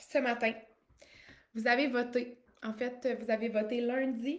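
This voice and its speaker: The intonation stays fairly even. The speaker is a woman. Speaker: life coach. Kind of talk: live stream monologue. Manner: casual, with many fillers.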